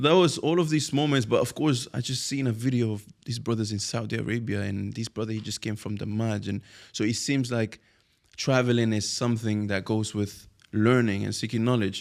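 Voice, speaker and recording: With a Spanish accent, a man talks at a fairly quick pace and medium pitch with ordinary pitch variation, on a very clean recording with a silent background. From Spain. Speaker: Arabic teacher and online entrepreneur. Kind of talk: podcast interview. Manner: halting.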